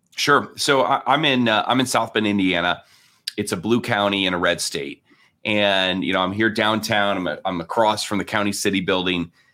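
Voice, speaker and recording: This man's voice sits fairly low in pitch. He talks at a moderate pace with ordinary pitch variation. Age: 40s. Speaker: pastor and author. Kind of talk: interview. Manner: hesitant, many fillers.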